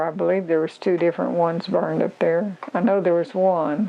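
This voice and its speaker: With an Arkansas accent, a woman talks at a moderate pace in a fairly low pitch with ordinary pitch variation. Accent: Southern US (Arkansas). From Arkansas, US South. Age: 80s+. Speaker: local elder sharing oral history. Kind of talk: oral history interview.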